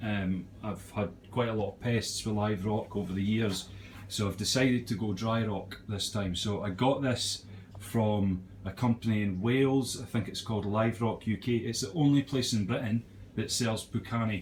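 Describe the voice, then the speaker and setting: This man's voice is fairly low and somewhat breathy. He speaks at a moderate pace with fairly even intonation. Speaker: aquarium hobbyist, joiner by trade. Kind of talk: casual video tour. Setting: at home. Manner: hesitant, many fillers; lowered voice in living room.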